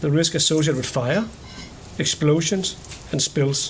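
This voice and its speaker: Over noticeable background noise, a man speaks with a fairly high pitch and ordinary pitch variation. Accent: Danish. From Denmark. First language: Danish. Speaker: company executive. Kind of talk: public meeting presentation. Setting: public board meeting.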